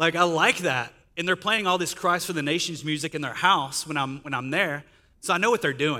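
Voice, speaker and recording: A man with a Texan accent, fairly high pitch, ordinary pitch variation and a bright, sharp tone, talking at a fairly quick pace on a very clean recording with a silent background. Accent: Texan (US Southern) English. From Northeast Texas, Sulphur Springs. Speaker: guest speaker. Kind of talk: testimony.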